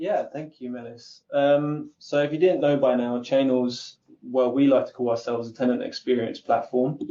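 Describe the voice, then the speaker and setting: A man speaks with an Essex accent at a medium pitch. His tone is dark and mellow. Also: fairly even intonation, moderate pace. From England, Essex. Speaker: content marketer. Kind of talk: webinar panel talk. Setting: online webinar.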